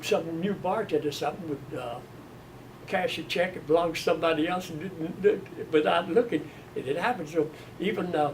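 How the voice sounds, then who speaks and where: A man's high voice with an American accent at a fairly quick pace, over noticeable background noise. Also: ordinary pitch variation. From US South, Mississippi. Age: 90s. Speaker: retired steel mill worker. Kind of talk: oral history interview. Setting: museum interview room. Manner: halting.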